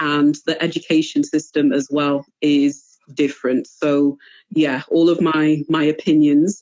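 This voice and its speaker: A woman with a Manchester accent speaks at a very deep, low pitch, slowly enough to call fairly slow, in a monotone, flat intonation and very even loudness. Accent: British with a Mancunian twang. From Cameroon and North Wales. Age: 30s. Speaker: podcast guest. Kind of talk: interview conversation. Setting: live online show. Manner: hesitant, many fillers.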